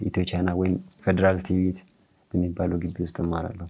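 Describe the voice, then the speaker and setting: A man's very deep, low voice, dark and mellow in tone, with monotone, flat intonation. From Arba Minch, southern Ethiopia; Ethiopia. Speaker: guitar maker and church musician; guest. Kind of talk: interview. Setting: studio. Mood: calm, friendly. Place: studio.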